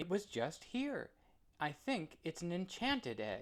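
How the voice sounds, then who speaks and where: Using a put-on character voice, a man speaks high in pitch at a fairly slow pace, with very wide pitch swings. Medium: read story.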